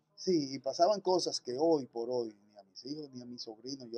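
Recorded with a dry, close sound and no echo, a man speaks at a moderate pace with a fairly high pitch and ordinary pitch variation. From Dominican Republic, Santo Domingo. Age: 40s. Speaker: paramedic and first-aid instructor. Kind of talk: interview.

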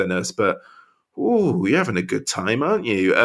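A man speaks with a West Country accent at a medium pitch. His intonation is lively. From Wiltshire, England. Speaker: football fan pundit. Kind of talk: casual chat. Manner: halting.

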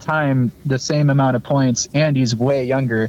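A man speaks at a moderate pace in an ordinary speaking voice. His pitch sits fairly high. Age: 20s. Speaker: hockey fan podcast guest. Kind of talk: casual chat.

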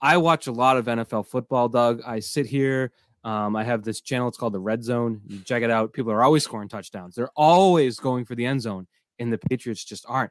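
Recorded very cleanly with a silent background, a man speaks at a fairly quick pace. He has an ordinary speaking voice at a medium pitch. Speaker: podcast host. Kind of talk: casual sports podcast discussion.

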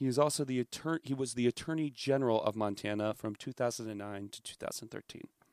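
At a very fast pace with hardly any pauses, a man speaks at medium pitch with ordinary pitch variation and big swings in loudness, in a dry, close sound with no echo. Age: 20s. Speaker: political commentator guest. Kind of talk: reading aloud; casual chat.

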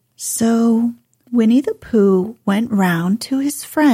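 The background stays quiet. An unforced reading voice carries the text.

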